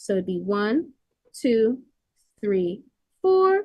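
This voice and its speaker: A woman is speaking. Her pitch swings very widely. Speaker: math student on a live stream. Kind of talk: tutorial. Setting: live stream.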